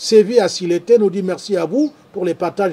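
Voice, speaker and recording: A man speaks at a high pitch. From Cameroon, Douala. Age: 60s. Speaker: farmer and show host. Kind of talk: live stream talk reading viewer comments.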